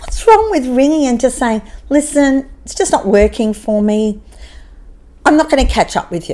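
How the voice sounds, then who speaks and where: A woman with an Australian accent and a high pitch speaks at a moderate pace over noticeable background noise. Her tone is animated, with very wide pitch swings. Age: 60s. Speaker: podcaster. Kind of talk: casual chat.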